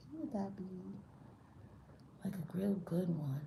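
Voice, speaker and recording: A woman speaks at a fairly low pitch in a dark, mellow tone that is somewhat breathy. Audible room echo surrounds her voice. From New York, Brooklyn. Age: 40s. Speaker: spiritual tarot reader. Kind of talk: live-stream tarot reading. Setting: live stream. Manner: casual, animated.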